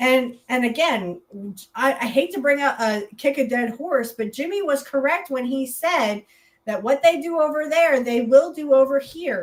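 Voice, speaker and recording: Shouting loudly, a woman with a high pitch keeps a moderate pace and lively intonation. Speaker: podcast co-host. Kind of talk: casual political chat. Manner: loud, yelling.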